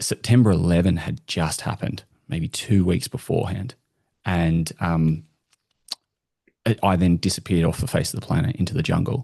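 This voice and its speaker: A man with an Australian accent speaks at a moderate pace with a very deep, low pitch and a dark, mellow tone. His intonation is lively, his pauses long and frequent, and the sound dry and close with no echo. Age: 40s. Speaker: customer experience industry guest. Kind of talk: casual interview chat.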